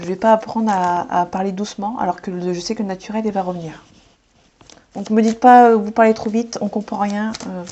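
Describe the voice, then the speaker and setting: At a fairly quick pace, a woman speaks with a medium pitch and fairly even intonation. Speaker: tarot card reader. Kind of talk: tarot reading. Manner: fast; hesitant.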